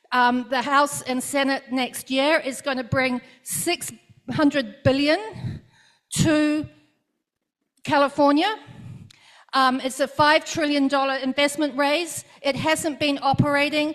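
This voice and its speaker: With a New Zealand accent, a woman speaks at a high pitch and a very slow pace, with long, frequent pauses and fairly even intonation. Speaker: congressional candidate. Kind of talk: campaign speech.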